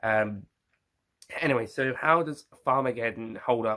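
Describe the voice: A man speaks at a fairly slow pace with ordinary pitch variation. His tone is bright and sharp. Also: medium pitch for a man.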